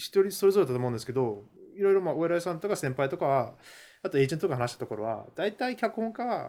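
The speaker talks at a very fast pace with a non-native accent and very wide pitch swings. The tone is dark and mellow. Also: man, high pitch for a man. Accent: non-fluent Japanese. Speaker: Hollywood screenwriter. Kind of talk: casual interview chat.

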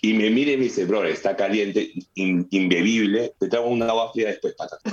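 A man with an ordinary speaking voice talks at a moderate pace. His pitch is medium. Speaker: beer pong entrepreneur. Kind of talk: casual chat.

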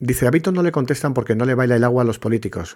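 Very fast speech comes from a man at medium pitch, captured on a very clean recording with a silent background. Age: 40s. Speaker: podcast host, journalist. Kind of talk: live-stream monologue, opinion talk. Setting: TikTok live stream. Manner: hesitant, with many fillers and repetitions.

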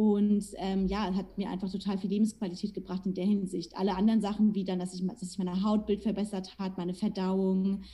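The woman speaks at medium pitch in a dark, mellow, somewhat breathy tone with monotone, flat intonation. She moves fairly quickly, with hardly any pauses. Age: 20s. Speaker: nutrition coach. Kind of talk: casual interview.

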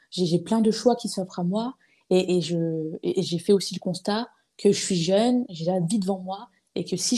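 A woman speaks at a medium pitch with a dark, mellow tone and a somewhat breathy quality. Her pace is fairly slow and her intonation fairly even. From eastern France (Épinal, Vosges). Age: 20s. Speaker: podcaster. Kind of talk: casual interview conversation. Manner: hesitant, many fillers and repetitions.

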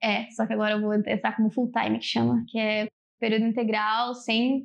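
Pitched fairly high, a woman talks at a moderate pace with a monotone, flat intonation. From São Paulo state, Brazil. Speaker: computer science student. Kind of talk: interview.

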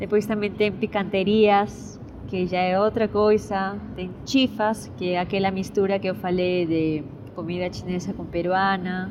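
There is noticeable background noise as a woman speaks with fairly even intonation. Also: medium pitch for a woman, fairly slow pace. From Peru, Lima. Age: 20s. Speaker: musician and student. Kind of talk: interview. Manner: halting, code-switching Spanish and Portuguese.

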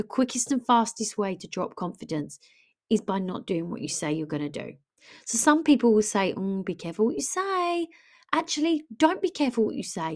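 Talking at a fairly quick pace with a British accent, a woman uses a fairly high pitch and very wide pitch swings. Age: 30s. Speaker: wellness and lifestyle coach. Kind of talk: motivational monologue. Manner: animated.

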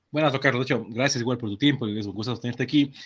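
Here a man talks in a normal speaking voice at a medium pitch. His pitch varies in an ordinary way. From Ecuador, Cuenca. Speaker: podcast host, industrial engineer. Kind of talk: interview.

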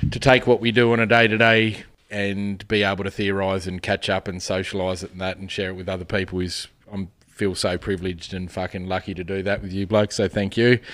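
A fairly low-pitched man talks at a fairly quick pace with an Australian accent. His intonation is monotone and flat. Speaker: podcast host. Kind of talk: casual banter, political chat. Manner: swears often, laid-back.

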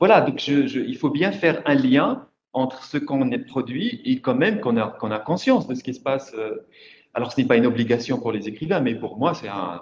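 A man at a medium pitch talks with lively intonation. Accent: Moroccan. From Morocco. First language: Moroccan Arabic (speaking French). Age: 40s. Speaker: writer. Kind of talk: panel discussion. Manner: halting.

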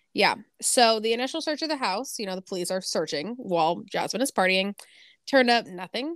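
In a very clean recording with a silent background and a dry, close sound with no echo, a woman with an ordinary speaking voice talks at a moderate pace with lively intonation. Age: 20s. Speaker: podcast co-host. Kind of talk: true crime narration; casual chat.

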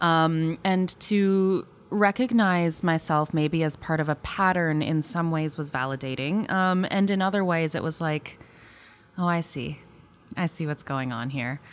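At a fairly slow pace, a woman with a fairly low pitch speaks with ordinary pitch variation. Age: 30s. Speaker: podcast guest. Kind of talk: casual chat. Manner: halting, many fillers.

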